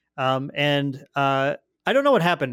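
The recording is very clean, with a silent background and a dry, close sound with no echo. A man speaks with a fairly high pitch. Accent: Upper Midwest. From Fargo, North Dakota. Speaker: podcast host. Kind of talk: casual podcast discussion.

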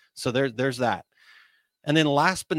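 An energetic, enthusiastic man is heard in a dry, close sound with no echo on a very clean recording with a silent background. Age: 40s. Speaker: podcast host and business coach. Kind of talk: solo monologue on small business.

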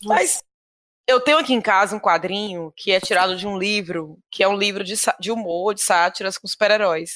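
A woman's plain, everyday voice, medium in pitch, with ordinary pitch variation, a moderate pace and a very clean recording over a silent background. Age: 30s. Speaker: podcast guest, film fan. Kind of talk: casual chat.

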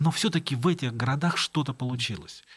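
A man's voice is somewhat breathy. He talks at a fairly quick clip, with lively intonation. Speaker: writer. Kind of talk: interview.

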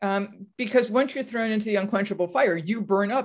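A woman with an American accent speaks at a moderate pace in an unremarkable speaking voice, her fairly high pitch moving with ordinary variation. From US Northeast (Massachusetts). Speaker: professor. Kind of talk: interview.

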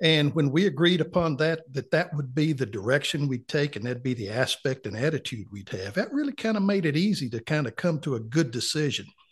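A man with a North Carolina accent talks at a fairly high pitch, somewhat breathy. He moves at a fairly quick pace with lively intonation and hardly any pauses. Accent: Southern US, North Carolina. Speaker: retired client. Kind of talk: casual interview chat.

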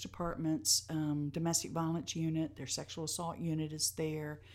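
A woman speaks with a Tennessee accent at a very deep, low pitch. The recording is very clean, with a silent background. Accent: Southern US (Tennessee). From US South, Nashville, Tennessee. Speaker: nonprofit executive director. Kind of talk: interview. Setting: live recording at a venue.

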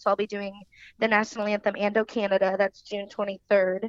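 A woman, a plain, everyday voice, medium pitch, moderate pace, dry, close sound with no echo. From Kansas City, Missouri. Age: 20s. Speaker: country singer. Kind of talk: casual interview.

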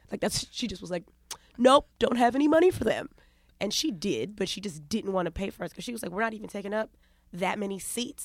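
In a New York accent, a woman speaks at a very fast pace with a medium pitch and lively intonation. Her loudness swings widely. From New York, Long Island and Brooklyn. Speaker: comedian and radio host. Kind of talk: casual chat.

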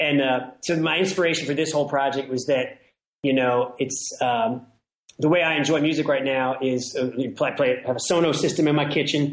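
With an American accent, a man uses an ordinary speaking voice at a moderate pace. His loudness stays very even, and his intonation is fairly even. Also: fairly high pitch for a man. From Washington, DC. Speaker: singer-songwriter. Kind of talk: casual interview.

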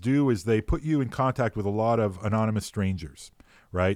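A man with a Montreal accent speaks at a fairly low pitch and a moderate pace. His intonation is lively. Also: very clean recording, silent background. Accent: Canadian English (Montreal). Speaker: philosopher, law professor. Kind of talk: casual chat. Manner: hesitant, many fillers.

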